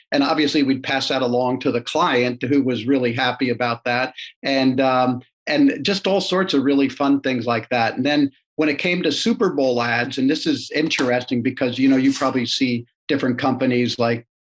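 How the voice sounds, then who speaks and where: The man talks at a moderate pace and medium pitch. His intonation is fairly even and his loudness very even. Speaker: marketing executive. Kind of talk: interview. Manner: quiet; halting.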